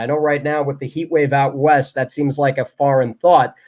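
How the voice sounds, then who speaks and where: A man talks at a fairly quick pace in an ordinary speaking voice. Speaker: baseball radio play-by-play announcer. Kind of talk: interview answer.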